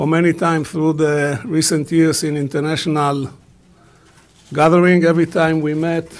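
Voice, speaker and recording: Monotone and flat, a man's voice sits at a fairly high pitch and moves at a fairly slow pace. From Israel. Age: 70s. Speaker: business leader; panelist. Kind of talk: press conference statement. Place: hall. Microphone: podium.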